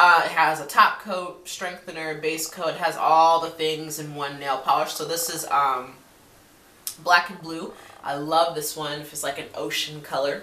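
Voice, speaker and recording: A woman speaks fairly slowly in a fairly low, monotone voice with flat intonation, over light background noise and audible room echo. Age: 20s. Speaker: beauty vlogger. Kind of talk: casual product review to camera. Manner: hesitant, many fillers. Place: home room. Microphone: webcam.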